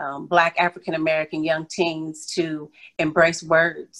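A woman talks at a fairly slow pace in a fairly low pitch. It is a normal speaking voice. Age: 40s. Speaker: author. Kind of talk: interview.

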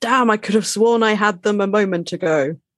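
A man's gruff, put-on character voice, high in pitch, at a moderate pace. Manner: carefully enunciated, gruff, like a bulldog.

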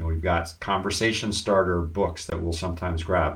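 Audible room echo fills the space. In it, a man speaks at a fairly quick pace. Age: 50s. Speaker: business consultant and podcast host. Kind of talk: casual live-stream talk. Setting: social media live video.

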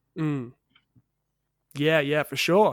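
In a very clean recording with a silent background, a man speaks with an Australian accent and a fairly high pitch. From Western Australia, Perth. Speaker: podcast host. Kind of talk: interview. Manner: casual.

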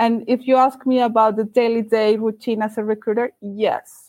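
In a Colombian accent, a woman with a dark, mellow tone speaks fairly high at a moderate pace, the sound dry and close with no echo and the background quiet. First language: Spanish. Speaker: recruiter. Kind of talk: interview.

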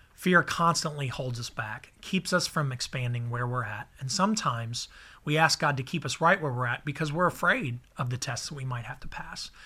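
At a moderate pace, a man speaks with a fairly high pitch, a bright, sharp tone that is also warm, and ordinary pitch variation. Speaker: pastor. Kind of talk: devotional teaching and prayer, a short sermon-style message. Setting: recorded video/podcast message for a church series. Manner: earnest, fervent, pleading; conversational, warm, encouraging.

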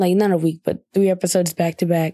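Very fast speech comes from a woman with a dark, mellow tone, the sound dry and close with no echo. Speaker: podcast host. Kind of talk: casual solo podcast monologue. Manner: casual, filler-heavy.

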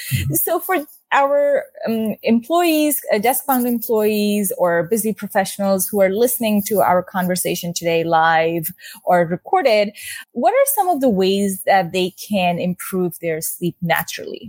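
A woman with a normal speaking voice talks at a fairly slow pace with lively intonation and medium pitch. The sound is dry and close, with no echo. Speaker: podcast host and wellness coach. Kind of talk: interview.

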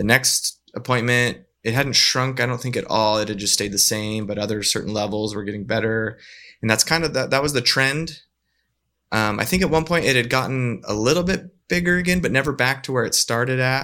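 Here a man talks at a fairly quick pace with a Western US accent. His bright, sharp tone sits on a very clean recording with a silent background. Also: medium pitch for a man, ordinary pitch variation. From northern Utah. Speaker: widower and full-time traveling parent. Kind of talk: casual interview.

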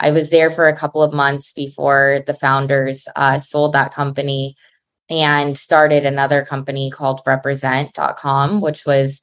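Very deep and low in pitch, a woman speaks in a monotone, flat way at a fairly slow pace on a very clean recording with a silent background. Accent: American. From Los Angeles, US West Coast. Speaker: venture capital investor. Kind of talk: interview.

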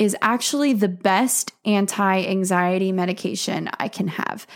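An ordinary speaking voice belongs to this woman, pitched at a medium level with ordinary pitch variation. She talks at a fairly slow pace on a very clean recording with a silent background. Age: 20s. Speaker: podcast host and elopement photographer. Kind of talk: personal testimony. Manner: casual, with frequent fillers.

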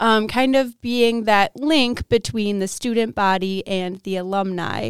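A woman's normal speaking voice with an American accent, medium pitch and ordinary pitch variation, dry and close with no echo on a very clean recording with a silent background. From Wisconsin, Milwaukee area. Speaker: university student. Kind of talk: casual chat.

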